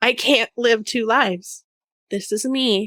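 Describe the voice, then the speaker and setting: A woman speaks loudly at a very slow pace in a fairly high pitch, with a bright, sharp tone. The sound is dry and close, with no echo. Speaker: podcaster and business coach. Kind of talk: solo podcast monologue. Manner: casual, blunt with frequent swearing.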